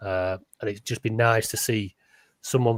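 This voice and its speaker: A man with a Lancashire accent speaks at a fairly low pitch in a flat monotone. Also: dry, close sound with no echo, very clean recording, silent background. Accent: Lancastrian, northern English. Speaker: podcast co-host. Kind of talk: casual chat. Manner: halting, repeats words.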